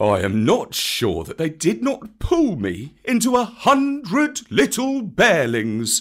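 A man's high, put-on character voice, very slow yet with hardly any pauses, on a very clean recording with a silent background. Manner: grave.

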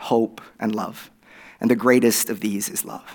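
A moderate pace in an Oklahoma accent, on a very clean recording with a silent background. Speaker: guest preacher. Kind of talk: sermon. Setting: church.

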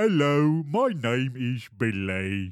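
This man puts on a character voice. His pitch sits at medium. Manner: cute, endearing.

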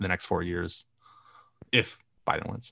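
A man's bright, sharp tone at a moderate pace, dry and close with no echo, on a very clean recording with a silent background. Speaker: university student and marketing officer. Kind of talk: casual chat.

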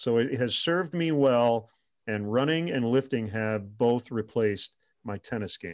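A man speaks in a normal speaking voice with an American accent, medium in pitch with ordinary pitch variation. His pace is fairly slow, and the background is quiet. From Michigan, US Midwest. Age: 50s. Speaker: baseball radio play-by-play announcer. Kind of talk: interview.

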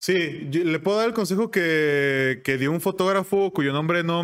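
A man with a normal speaking voice, fairly high in pitch, talks with ordinary pitch variation at a moderate pace. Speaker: voice-over artist and advertising professional. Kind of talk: casual interview.

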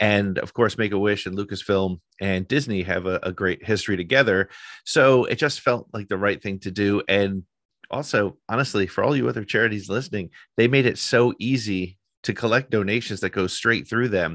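Over a quiet background, a man talks at a fairly quick pace in a fairly low pitch, with ordinary pitch variation. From US, northern New Jersey. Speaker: podcaster and freelance writer. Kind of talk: interview. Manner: halting, frequent fillers and repeats.

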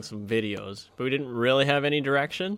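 A man with an ordinary speaking voice talks at a fairly quick pace with a fairly high pitch. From Saskatchewan, Canada (Moose Jaw and farm). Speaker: video creator and podcast co-host, camera operator. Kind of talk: casual chat. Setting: behind the camera, eating an apple.

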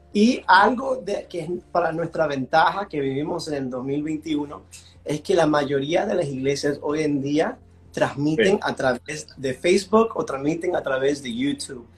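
With music in the background, a man at a fairly high pitch talks at a fairly slow pace with lively intonation. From US East Coast (Washington D.C. area), Venezuelan parents. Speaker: worship pastor and singer. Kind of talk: casual interview. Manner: mixes English into Spanish.

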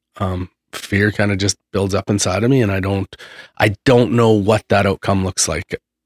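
In a very clean recording with a silent background and a dry, close sound with no echo, a man with an ordinary speaking voice talks at a moderate pace, fairly low in pitch and with fairly even intonation. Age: 40s. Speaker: podcast host. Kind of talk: casual chat. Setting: studio.

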